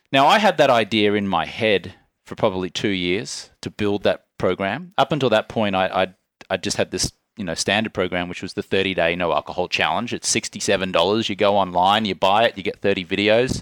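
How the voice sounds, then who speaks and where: Fairly quick in pace, a man with an Australian accent talks at a fairly low pitch, the sound dry and close with no echo in a very clean recording over a silent background. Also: ordinary pitch variation. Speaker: entrepreneur and podcast host. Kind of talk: casual conversation. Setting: office in a villa.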